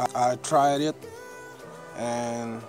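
The sound is dry with no echo as a man talks over clear background music. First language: French. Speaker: drone hobbyist vlogger. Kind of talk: casual vlog talk to camera. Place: forest. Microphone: phone near.

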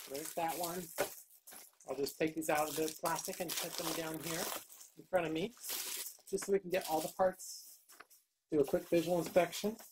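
A woman with a fairly low pitch speaks at a moderate pace, taking long, frequent pauses. Her intonation is fairly even, and there is noticeable background noise. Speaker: YouTuber doing product unboxings. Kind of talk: unboxing video. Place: home room. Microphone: phone near.

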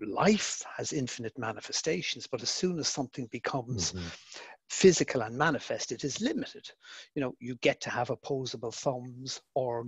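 With a dry, close sound and no echo over a quiet background, a man of medium pitch speaks at a moderate pace in an Irish accent, his delivery lively in intonation and somewhat breathy. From Ireland. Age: 50s. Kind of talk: online Q&A. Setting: video call.

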